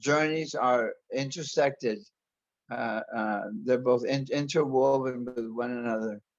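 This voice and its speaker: Speaking in an American accent, a man with a medium pitch talks at a fairly slow pace with fairly even intonation and long, frequent pauses. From US Southwest, Arizona. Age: 60s. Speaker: interview guest, body modification enthusiast. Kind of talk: interview. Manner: halting, many repetitions and false starts.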